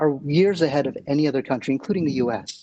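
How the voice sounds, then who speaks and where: A man with an American accent talks at a very fast pace, his fairly high voice dark and mellow in tone, with ordinary pitch variation. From United States. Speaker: tech executive. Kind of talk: keynote speech.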